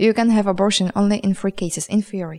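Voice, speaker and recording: A woman speaks fairly quickly in a Polish accent, her pitch medium and her intonation fairly even. The sound is dry and close, with no echo. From Poland. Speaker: journalist and poet. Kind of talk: interview. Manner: halting, with many fillers.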